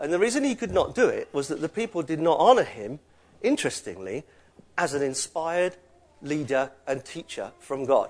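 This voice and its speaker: A man with a fairly high voice swings very widely in pitch and lets vocal fry creep in. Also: moderate pace. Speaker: preacher. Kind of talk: sermon. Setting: church. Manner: animated.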